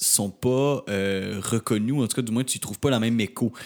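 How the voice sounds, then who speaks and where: An unremarkable speaking voice: a man at medium pitch and a moderate pace, with fairly even intonation. The recording is very clean, with a silent background. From Quebec, Rimouski. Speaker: podcast co-host. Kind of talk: casual interview.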